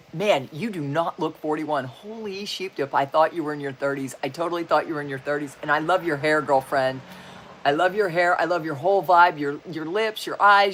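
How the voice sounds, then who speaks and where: Someone with an American accent talks fairly quickly in an animated tone amid noticeable background noise. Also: woman. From Wyoming, US. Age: 60s. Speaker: spiritual and self-help YouTuber. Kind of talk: livestream chat reading viewer comments. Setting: live video stream. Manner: halting.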